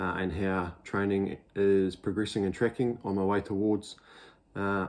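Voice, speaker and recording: A man speaks at a fairly slow pace in a fairly low voice. His intonation is monotone and flat. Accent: New Zealand. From New Zealand. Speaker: amateur triathlete vlogger. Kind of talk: casual vlog. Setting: at home, morning. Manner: speaking quietly; hesitant fillers. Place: home room. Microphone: webcam.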